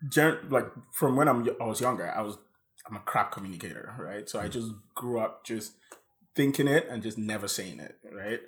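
This is an unremarkable speaking voice, a man's at medium pitch with ordinary pitch variation. He talks at a fairly quick pace with big swings in loudness. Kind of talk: casual chat over wine.

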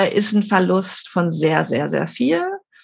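Her voice carries vocal fry, captured on a very clean recording against a silent background. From Barcelona, Spain. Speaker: intercultural trainer and psychologist. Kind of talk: interview conversation.

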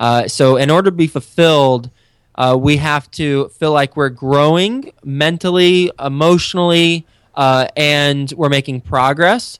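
An unremarkable speaking voice with an American accent, delivered at a fairly slow pace with very even loudness. The pitch varies in an ordinary way, and the sound is dry and close with no echo. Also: man, fairly high pitch for a man. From Texas. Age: 30s. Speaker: real estate investor and podcast host. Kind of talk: interview. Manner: frequent fillers and repetitions.

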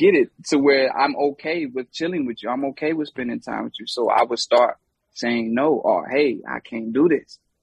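This man speaks at a moderate pace with a North Carolina accent. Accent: Southern US, North Carolina. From US South, Charlotte, North Carolina. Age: 30s. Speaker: hip hop artist. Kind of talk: casual chat.

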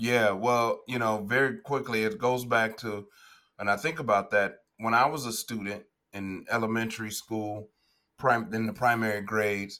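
The man's tone is bright and sharp, at a medium pitch. He keeps a moderate pace with fairly even intonation. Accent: Chicago. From Chicago, US Midwest. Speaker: educator and education entrepreneur. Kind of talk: interview.

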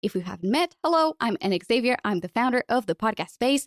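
A woman is speaking. She has a Portuguese accent. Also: dry, close sound with no echo. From Portugal. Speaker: podcast host. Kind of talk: casual interview. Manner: fast talker.

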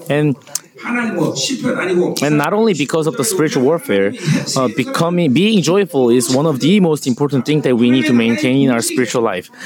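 Amid noticeable background noise, a man with a fairly high voice speaks at a moderate pace, his loudness very even while his pitch swings very widely. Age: 60s. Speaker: pastor. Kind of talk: sermon. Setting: stage with audience.

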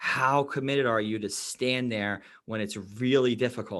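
A man with a New York accent, medium pitch, a fairly slow pace and fairly even intonation, against a quiet background. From New York City (Queens), then Long Island. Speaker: life coach and endurance athlete. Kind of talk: podcast interview.

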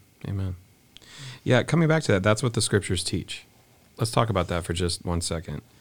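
In a very clean recording with a silent background, a man with a very deep, low pitch speaks at a fairly quick pace, somewhat breathy, with lively intonation and long, frequent pauses. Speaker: podcast host. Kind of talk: casual conversational interview. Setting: studio.

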